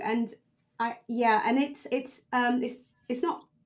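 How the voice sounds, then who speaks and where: A woman with a British accent speaks at a high pitch. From UK, Caribbean family background. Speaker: coach and mentor for women in tech. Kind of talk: podcast interview. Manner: loud, forthright.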